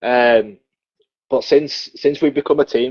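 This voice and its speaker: A man talks with a Yorkshire accent. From northern England, Leeds (West Yorkshire). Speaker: professional wrestler. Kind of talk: casual interview chat.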